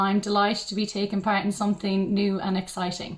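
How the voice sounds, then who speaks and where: A woman speaks with a western Irish accent. Her pitch sits fairly high and her pace is fairly quick. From Ireland, County Mayo. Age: 20s. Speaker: beauty pageant contestant. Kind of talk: self-introduction. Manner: hesitant, with many ums.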